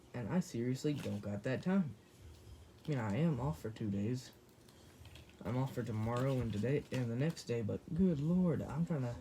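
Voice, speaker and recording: Lively intonation meets a dark, mellow tone that is somewhat breathy, with long, frequent pauses throughout. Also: man, medium pitch for a man. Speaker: YouTuber doing toy unboxing. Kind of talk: casual unboxing video. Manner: hurried.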